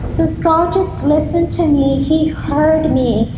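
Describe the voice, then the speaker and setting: A high-pitched woman's voice with audible room echo and noticeable background noise. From East Africa. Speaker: grief counselor. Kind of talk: keynote speech. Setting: school assembly with audience. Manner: soft-spoken.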